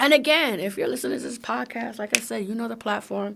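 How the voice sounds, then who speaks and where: A woman with an American accent talks in an animated way, her medium-pitched voice showing vocal fry. The recording is very clean, with a silent background. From Brooklyn, New York. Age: 40s. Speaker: comedian and podcast host. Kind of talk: podcast monologue.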